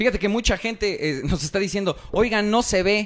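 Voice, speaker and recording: At a moderate pace, a man speaks in a high pitch. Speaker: podcast host. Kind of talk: casual chat.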